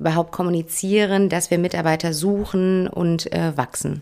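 Her intonation stays monotone and flat as the woman talks at a moderate pace, her pitch fairly low. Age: 30s. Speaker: HR manager at a franchise company. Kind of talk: podcast interview.

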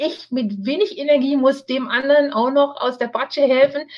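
This woman's voice is high in pitch and shows ordinary pitch variation. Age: 60s. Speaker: cancer survivor and author. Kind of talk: interview. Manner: hesitant with fillers.

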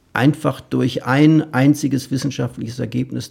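A medium-pitched man's voice with vocal fry. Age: 60s. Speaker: astrophysicist, institute director. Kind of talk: interview. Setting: meeting room at research institute.

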